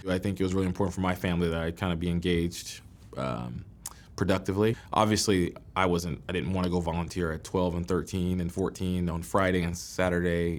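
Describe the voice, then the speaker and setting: Using a fairly quick pace, a man speaks at a very deep, low pitch with fairly even intonation. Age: 30s. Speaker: medical student, former school principal. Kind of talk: interview testimony. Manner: casual, with frequent fillers and restarts.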